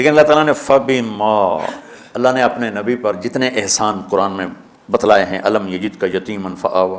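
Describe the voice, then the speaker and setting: With noticeable background noise around him, a man speaks at a fairly low pitch with ordinary pitch variation. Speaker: Islamic scholar giving a religious lecture (bayan). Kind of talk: religious sermon / lecture.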